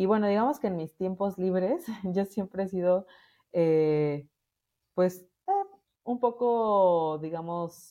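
A woman speaks at a very slow pace with long, frequent pauses against a quiet background. Her medium-pitched voice has a dark, mellow tone. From Mexico, Morelia, Michoacán. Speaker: radio station director and women's advocate. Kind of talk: interview.

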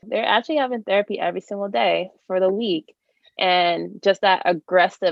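Using an unremarkable speaking voice, a woman speaks fairly low in pitch at a fairly slow pace with ordinary pitch variation. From New York. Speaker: podcast host, occupational therapist. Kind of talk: casual interview chat. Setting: video call.

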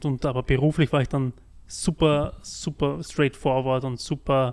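On a very clean recording with a silent background, a man with a normal speaking voice talks at a moderate pace, his pitch fairly high and his intonation fairly even. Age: 30s. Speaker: podcast host, project manager. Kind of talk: casual interview.

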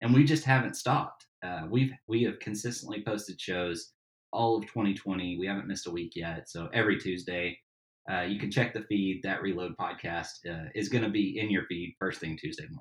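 Here is a man with an ordinary speaking voice and an American accent, pitched fairly low. He talks at a moderate pace with ordinary pitch variation. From Tennessee, US South. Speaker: backyard barbecuer and podcaster. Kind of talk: casual interview chat. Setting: remote podcast recording.

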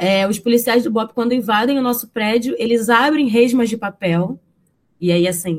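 Average-speed delivery from a woman, her voice slightly breathy. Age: 20s. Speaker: university student and community education coordinator. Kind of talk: interview.

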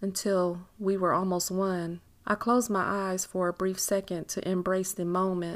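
Plain reading aloud. The words are simply read out.

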